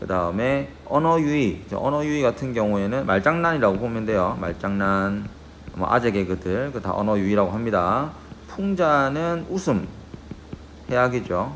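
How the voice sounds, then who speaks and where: With noticeable background noise and audible room echo, a man speaks in very wide pitch swings. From Gyeongsang region, South Korea. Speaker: high school Korean teacher. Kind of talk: lecture. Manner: conversational, checks in with students.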